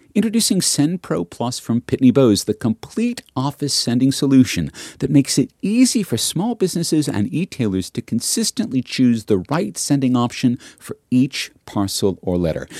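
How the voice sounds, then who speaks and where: With hardly any pauses, a man talks at a medium pitch in a dark, mellow tone with very wide pitch swings, the sound dry and close with no echo. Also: moderate pace. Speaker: podcast host. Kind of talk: read advertisement; scripted narration. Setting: studio.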